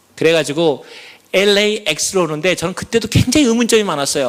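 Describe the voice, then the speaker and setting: This man's pitch is high. His intonation is lively. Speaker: church elder giving testimony. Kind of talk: testimony.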